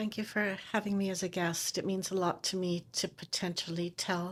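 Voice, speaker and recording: A plain, everyday voice from a woman, fairly low in pitch, at a moderate pace, on a very clean recording with a silent background. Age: 60s. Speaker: TV producer and chronic pain patient. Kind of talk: interview testimony.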